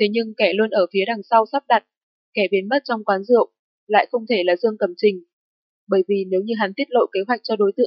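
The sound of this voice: Someone reads in an unforced reading voice against a quiet background.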